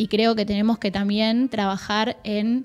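A woman at a fairly high pitch with monotone, flat intonation and a fairly slow pace, in a very clean recording with a silent background. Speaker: youth policy official. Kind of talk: interview. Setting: studio.

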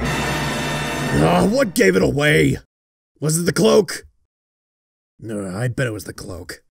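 Using a put-on character voice at medium pitch, a man speaks at a fairly slow pace with faint music in the background. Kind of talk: comedic parody dub. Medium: dub.

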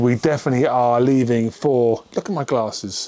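Pitch moving in an ordinary way, a man speaks at a fairly quick pace. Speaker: motorbike vlogger. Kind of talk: casual vlog chat. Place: garage. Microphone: lapel.

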